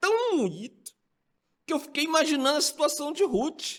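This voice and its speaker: A man's extremely high voice, raised and projected, bright and sharp in tone, animated, with very wide pitch swings. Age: 60s. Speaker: pastor, Sunday school teacher. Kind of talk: Bible study lesson.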